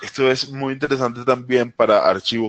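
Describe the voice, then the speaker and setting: Recorded with a dry, close sound and no echo, a man speaks in a Caribbean accent. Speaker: technology presenter. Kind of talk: webinar tutorial. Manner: hesitant, many fillers.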